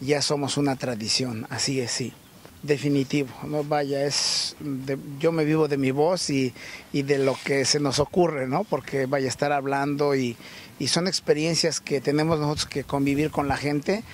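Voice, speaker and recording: A man speaks at a fairly high pitch and a fairly slow pace, with fairly even intonation. The sound is dry with no echo, over light background noise. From Tlaxcala, Mexico. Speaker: fair blanket seller. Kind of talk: interview; interview answer. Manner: halting. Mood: proud, cheerful. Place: market. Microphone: handheld.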